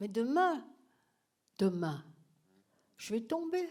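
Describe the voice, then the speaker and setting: Her pitch swings very widely. The woman's pace is very slow. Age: old. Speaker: retired professor. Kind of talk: masterclass Q&A.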